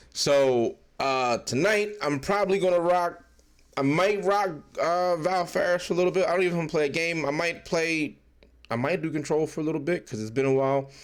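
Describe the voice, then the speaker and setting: High-pitched male speech at a moderate pace, its pitch varying in an ordinary way. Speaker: game streamer. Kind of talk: live stream chat. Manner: casual, rambling.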